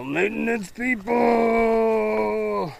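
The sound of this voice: Put-on character voice over light background noise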